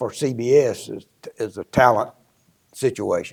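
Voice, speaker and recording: A man speaks with a South Carolina accent at a medium pitch. His pace is moderate. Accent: Southern US (South Carolina). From US South, upstate South Carolina. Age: 80s+. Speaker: retired musician, former drummer. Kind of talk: casual interview reminiscence.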